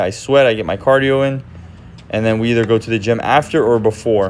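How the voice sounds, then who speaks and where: Speaking very fast with fairly even intonation, a man at a medium pitch is heard against noticeable background noise. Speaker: phone reseller vlogger. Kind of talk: voice-over narration. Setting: recorded voice-over on microphone. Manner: monotone.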